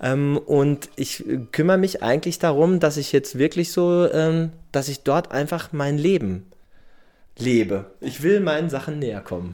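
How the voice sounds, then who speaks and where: With lively intonation and a dark, mellow tone, a man speaks at a fairly slow pace on a very clean recording with a silent background. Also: fairly high pitch for a man. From Germany, Dortmund (Ruhr area). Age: 40s. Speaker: surfer who emigrated. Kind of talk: interview.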